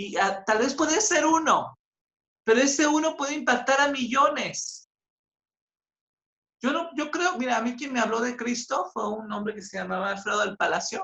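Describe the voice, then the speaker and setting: A woman's high, bright, sharp voice with lively intonation, a moderate pace, and long, frequent pauses. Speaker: church Bible study leader. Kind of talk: closing remarks in a Bible class. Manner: halting, trips over words.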